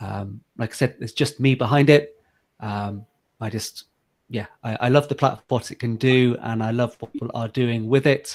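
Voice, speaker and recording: This man has an English accent and talks at a moderate pace with fairly even intonation. His loudness swings widely. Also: medium pitch for a man. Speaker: software founder. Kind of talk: interview. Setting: home office video call. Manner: hesitant, many fillers.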